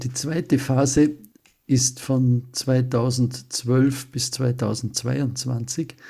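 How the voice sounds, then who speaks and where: Very slow, somewhat breathy speech from a man, dark and mellow in tone, medium in pitch, with monotone, flat intonation. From Austria. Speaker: retreat center director. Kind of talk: interview.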